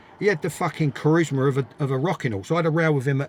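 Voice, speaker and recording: The speaker is male. His words come out at a very fast pace. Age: 60s. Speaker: former footballer and manager. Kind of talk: interview. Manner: animated; repetitive, stumbling.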